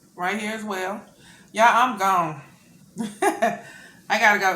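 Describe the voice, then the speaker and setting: A woman's bright, sharp tone in a Southern US accent at a moderate pace, with audible room echo. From US South. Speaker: mukbang youtuber. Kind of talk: casual vlog chat while eating. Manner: halting, stumbling on words.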